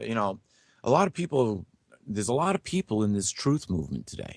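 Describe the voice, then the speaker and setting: Recorded very cleanly against a silent background with a dry, close sound and no echo, a man speaks at a fairly quick pace with vocal fry and very wide pitch swings. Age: 60s. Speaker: guest speaker on biblical prophecy. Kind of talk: interview.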